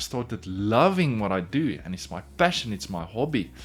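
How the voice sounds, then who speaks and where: A South African accent at a moderate pace, with very wide pitch swings. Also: man. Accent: Afrikaans South African. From South Africa, Pretoria. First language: Afrikaans. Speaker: woodworker and furniture maker, YouTuber. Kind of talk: casual vlog narration.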